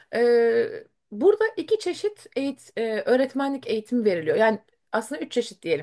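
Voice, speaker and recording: Against a quiet background, a woman with a high pitch and a dark, mellow tone talks at a fairly quick pace, her pitch swinging very widely. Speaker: teacher. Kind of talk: interview. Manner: hesitant, many fillers.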